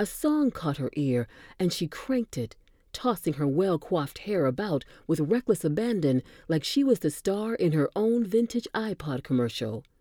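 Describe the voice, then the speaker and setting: A woman with an American accent has a fairly low pitch and a dark, mellow tone with very wide pitch swings. The recording is very clean with a silent background and a dry, close sound with no echo. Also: moderate pace. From Boston. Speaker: podcast narrator. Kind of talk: reading aloud.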